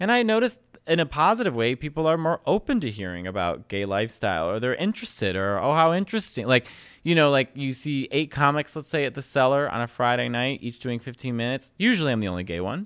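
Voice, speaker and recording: Over a silent background on a very clean recording, a man at a medium pitch talks at a very fast pace with very wide pitch swings. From Chicago. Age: 30s. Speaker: comedian. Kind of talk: casual chat. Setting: studio.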